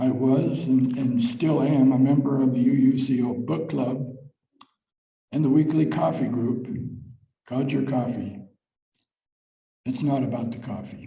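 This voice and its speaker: With audible room echo, the speaker uses vocal fry and ordinary pitch variation at a fairly slow pace, with long, frequent pauses. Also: man, medium pitch for a man. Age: 80s+. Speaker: church member giving a short talk. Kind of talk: reading aloud a personal talk at a church service. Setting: church service. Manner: halting, some repeated words.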